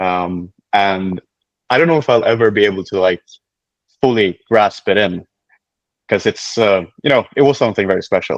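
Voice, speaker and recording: A man with a fairly low pitch talks at a moderate pace with long, frequent pauses. His loudness is very even, his pitch variation ordinary, and the sound dry and close with no echo. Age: 20s. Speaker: powerlifter and coach. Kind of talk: casual interview. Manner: halting, with fillers.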